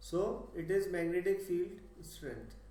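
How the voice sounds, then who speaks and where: A high-pitched man amid noticeable background noise and audible room echo. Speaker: physics tutor. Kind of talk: lecture. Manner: slow.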